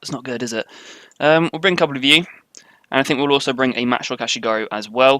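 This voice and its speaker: With a British accent, a man at medium pitch talks at a very fast pace with ordinary pitch variation. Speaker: video game commentator. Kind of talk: live gameplay commentary. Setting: live stream. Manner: casual, light-hearted.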